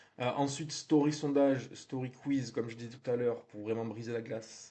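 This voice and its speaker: A man with a southern French accent, at a moderate pace, in a flat monotone. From southern France. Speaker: real estate marketing trainer. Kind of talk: tutorial. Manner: conversational, frequent hesitations.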